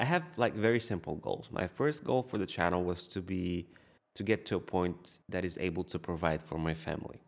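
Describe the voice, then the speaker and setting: A man with a Bulgarian accent speaks in a very deep, low voice. His pace is fairly quick, with ordinary pitch variation. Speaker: YouTube content creator. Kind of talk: casual interview chat. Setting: video call from his studio.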